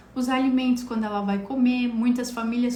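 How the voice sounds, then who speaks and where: A woman with a high pitch speaks at a moderate pace with fairly even intonation. There is audible room echo. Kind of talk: live stream health talk. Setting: live stream.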